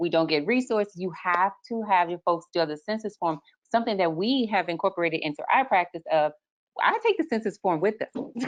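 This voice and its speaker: Delivered at a fairly quick pace, a plain, everyday voice with an American accent carries lively intonation. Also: woman, medium pitch for a woman. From Texas. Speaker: lactation consultant, webinar co-host. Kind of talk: casual panel discussion.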